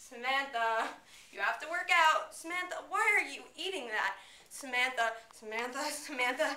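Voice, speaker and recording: A woman's raised, projected voice at a moderate pace, with lively intonation, big swings in loudness and audible room echo. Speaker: student actor. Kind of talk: dramatic monologue performance. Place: classroom. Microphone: camera far.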